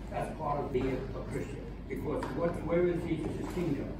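A man speaks amid loud background noise. The room echo is audible. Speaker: lay church volunteer leading prayer. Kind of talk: scripture reading and informal sermon. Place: hall.

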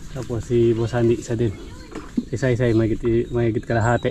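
Amid noticeable background noise, a man of medium pitch talks at a moderate pace with flat, monotone intonation. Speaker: farmer vlogger. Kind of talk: casual vlog narration. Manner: rambling, filler-heavy.

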